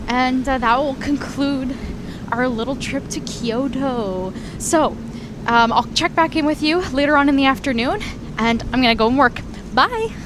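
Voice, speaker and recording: Speaking with a Canadian accent at a moderate pace, the voice shows ordinary pitch variation against noticeable background noise. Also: woman, high pitch for a woman. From Canada. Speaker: travel vlogger. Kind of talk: travel vlog. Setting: outdoors. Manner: casual.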